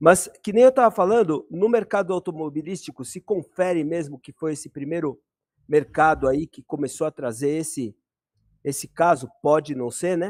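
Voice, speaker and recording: Lively intonation and big swings in loudness mark a man's fairly high voice at a moderate pace. The sound is dry and close, with no echo. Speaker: live stream host, electronics repair. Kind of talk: online debate. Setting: live stream. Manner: halting.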